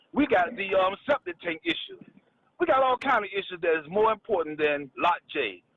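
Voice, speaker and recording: A man's high voice at a moderate pace, with very wide pitch swings. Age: 60s. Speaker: caller. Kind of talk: call-in comment.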